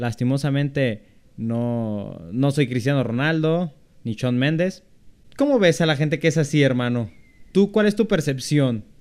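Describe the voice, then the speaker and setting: A man with a plain, everyday voice speaks at a fairly slow pace in a fairly high pitch with lively intonation, recorded very cleanly over a silent background. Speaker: podcast co-host. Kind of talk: casual chat.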